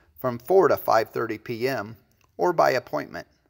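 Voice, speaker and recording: Recorded very cleanly with a silent background and a dry, close sound with no echo, a man speaks at a medium pitch and a fairly quick pace, with vocal fry and very wide pitch swings. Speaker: real estate and auction company narrator. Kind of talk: real estate promotional narration.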